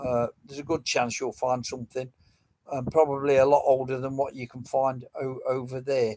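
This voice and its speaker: In an English accent, a man speaks at medium pitch and a moderate pace with a dark, mellow tone and monotone, flat intonation. His loudness swings widely, and the sound is dry and close with no echo. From England, Nottingham. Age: 70s. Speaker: metal detecting live streamer. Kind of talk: casual live stream chat. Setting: live stream.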